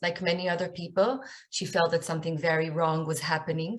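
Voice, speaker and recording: A woman with an Israeli accent talks at a moderate pace in a fairly low, somewhat breathy voice, with audible room echo. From Israel, north Tel Aviv. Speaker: author and speaker. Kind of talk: lecture.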